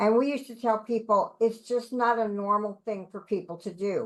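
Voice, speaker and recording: Loud and fairly quick, a woman speaks. She keeps her pace up throughout. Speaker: support group member. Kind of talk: group discussion.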